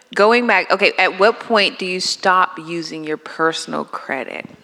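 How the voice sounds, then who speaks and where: There is noticeable background noise behind a woman speaking at a fairly slow pace. Her pitch is medium, with ordinary pitch variation. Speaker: workshop attendee. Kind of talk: audience question. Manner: loud.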